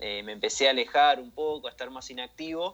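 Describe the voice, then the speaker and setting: In an Argentine accent, a man speaks at a fairly high pitch. His pace is moderate. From Argentina. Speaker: game modding community admin. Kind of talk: casual radio interview.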